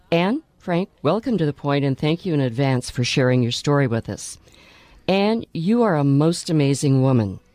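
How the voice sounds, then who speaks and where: With music playing in the background, a woman with a very deep, low voice speaks at a moderate pace in very wide pitch swings, the sound dry and close with no echo. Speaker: radio co-host interviewer. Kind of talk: radio interview. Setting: in studio.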